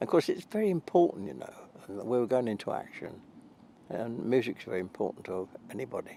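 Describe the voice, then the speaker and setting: Moving at a fairly quick pace, a man talks in a British accent. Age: 80s+. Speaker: army veteran, Chelsea Pensioner, singer. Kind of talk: interview answer.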